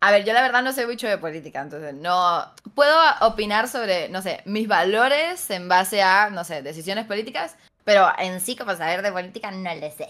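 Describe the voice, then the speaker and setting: A woman's medium-pitched voice with a slight Mendoza Argentine accent, a bright, sharp tone, lively intonation, big swings in loudness and a fairly quick pace, against a quiet background. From Mendoza, Argentina. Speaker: stream guest. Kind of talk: casual chat. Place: home room.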